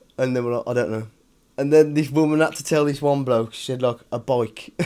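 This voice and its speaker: Speaking at a fairly quick pace with a strong British accent, a man has a medium pitch and a dark, mellow tone. His intonation stays fairly even while his loudness swings widely. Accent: strong regional British. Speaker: cycling vlogger. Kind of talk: vlog to camera. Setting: hotel room. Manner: casual, chatty.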